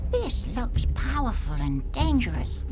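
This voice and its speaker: A put-on character voice at a fairly slow pace amid loud background noise. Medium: game stream.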